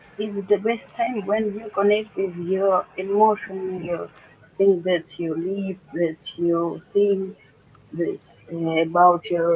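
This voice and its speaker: Someone speaks at a very slow pace with a Russian accent. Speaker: doctor and amateur artist. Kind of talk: casual chat. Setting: video call. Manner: halting.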